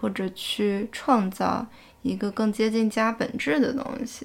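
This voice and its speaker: On a very clean recording with a silent background, a woman speaks at a very slow pace. Her pitch is fairly high and her intonation fairly even. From Fuzhou, China. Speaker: podcast host. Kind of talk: casual chat.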